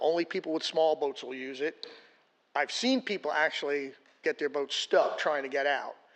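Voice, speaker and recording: A man with a normal speaking voice, fairly high pitch and moderate pace. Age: 60s. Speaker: public commenter at city meeting. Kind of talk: public comment.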